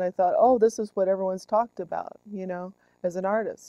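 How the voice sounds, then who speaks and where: A woman speaks with an American accent at a medium pitch, her tone dark and mellow. The sound is dry and close, with no echo. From Southern California. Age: 40s. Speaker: recovering alcoholic, artist. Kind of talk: documentary interview. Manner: hesitant, many ums.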